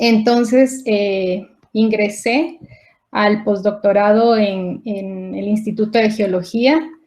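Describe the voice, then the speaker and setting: Speaking at a very slow pace, a woman uses a fairly high voice. Her pitch varies in an ordinary way. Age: 40s. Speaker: scientist. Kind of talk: conference talk. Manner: halting.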